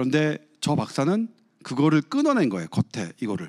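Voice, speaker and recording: On a very clean recording with a silent background, a man speaks in an animated tone with a dry, close sound and no echo. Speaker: medical journalist, former neurosurgeon. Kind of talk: guest lecture with Q&A. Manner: animated storytelling.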